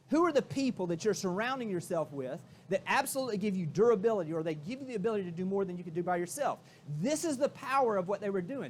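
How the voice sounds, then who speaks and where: The delivery is very fast and animated. Intonation is lively throughout. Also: man, high pitch for a man. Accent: Southern US. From Florida, US South. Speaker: keynote speaker, real estate executive. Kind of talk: motivational keynote. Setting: stage with audience.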